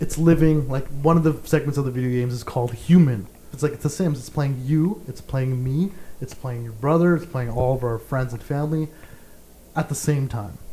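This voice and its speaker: A man talks at a fairly quick pace with a fairly high pitch. His tone is dark and mellow, and somewhat breathy. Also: ordinary pitch variation, big swings in loudness. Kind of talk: casual chat.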